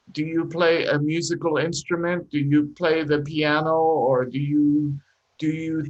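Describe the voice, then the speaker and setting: A man speaks with a non-native accent. He goes at a very slow pace. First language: not English. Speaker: English teacher. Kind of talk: live online English class. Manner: encouraging, patient.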